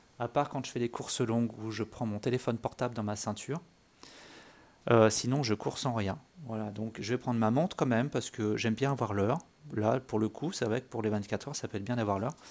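A man with a medium pitch talks at a fairly quick pace with fairly even intonation, on a very clean recording with a silent background. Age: 40s. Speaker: amateur runner podcaster. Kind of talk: solo monologue podcast. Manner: hesitant, many fillers.

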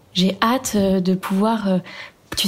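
Her intonation fairly even, a woman speaks in a somewhat breathy voice. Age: 20s. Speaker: interviewee sharing personal story. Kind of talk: testimony. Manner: hesitant.

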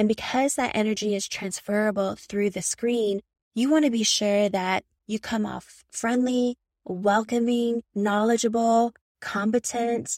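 A woman's relaxed, fairly high voice with fairly even intonation and a fairly slow pace, in a dry, close sound with no echo. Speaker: camouflage tattoo artist and podcast host. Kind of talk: solo podcast monologue giving business tips. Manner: relaxed and chill naturally, but projects and hypes up energy in recordings.

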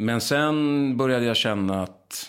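Audible room echo around a man's voice, with ordinary pitch variation. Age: 40s. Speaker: film director and actor. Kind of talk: casual interview chat. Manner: halting, many false starts.

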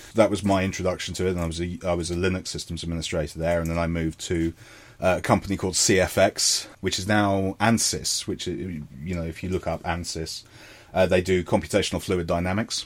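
A man with a southern English accent, very deep and low in pitch, monotone and flat, at a fairly quick pace. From London, England. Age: 40s. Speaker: digital forensics consultant. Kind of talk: casual interview. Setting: video call. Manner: halting.

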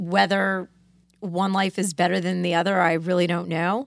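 Speaking with an American accent, a woman talks at a moderate pace and a medium pitch. She has an ordinary speaking voice. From Connecticut, US. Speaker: lawyer, law firm founding partner. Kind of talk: casual interview. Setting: studio.

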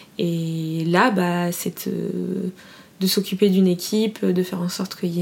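Over noticeable background noise, a woman at a medium pitch talks in a monotone with flat intonation. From France, Fontainebleau area. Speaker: entrepreneur, brand founder. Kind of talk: interview. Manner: halting, many fillers.

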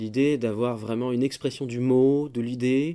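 In a very clean recording with a silent background, a man talks with a dark, mellow tone at a medium pitch. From France, Paris. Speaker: composer, organist and music teacher. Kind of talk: interview. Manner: halting, many hesitations and repeated words.

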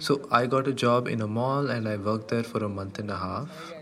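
Here a man speaks with ordinary pitch variation. Noticeable background noise runs underneath. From Karnataka, India (Gulbarga). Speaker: delivery rider. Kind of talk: testimony.

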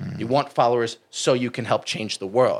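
In a very clean recording with a silent background, a man with an American accent speaks at a fairly quick pace in an unremarkable speaking voice of medium pitch. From US Northeast (New Jersey). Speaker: fitness coach. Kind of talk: casual interview chat.

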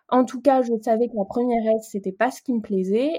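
Over a very clean recording with a silent background, a woman speaks at a fairly high pitch with ordinary pitch variation and a dark, mellow tone. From Paris region, France. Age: 20s. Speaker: communications project manager and baking blogger. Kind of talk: interview testimony.

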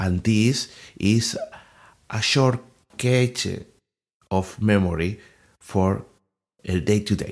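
A man with a non-native accent and fairly low pitch, ordinary pitch variation, long, frequent pauses, and a very clean recording with a silent background. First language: not English. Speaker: podcast host, English learner. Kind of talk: solo educational monologue. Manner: halting, with fillers and repetitions.

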